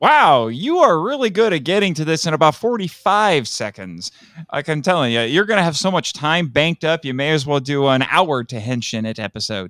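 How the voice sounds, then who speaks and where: A man with an American accent speaks at a moderate pace with hardly any pauses. His fairly high voice makes very wide pitch swings. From Indiana, US Midwest. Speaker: podcast host. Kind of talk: casual chat.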